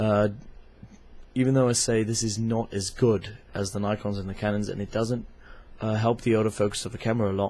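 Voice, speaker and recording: Speaking at a fairly quick pace, a man with a fairly low pitch and a dark, mellow tone delivers monotone, flat intonation broken by long, frequent pauses. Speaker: club photographer. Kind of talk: product review talk to camera. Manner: hesitant, many fillers.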